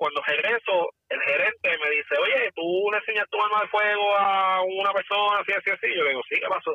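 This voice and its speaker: A man talks at a moderate pace. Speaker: former police officer, firearms instructor. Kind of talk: casual chat.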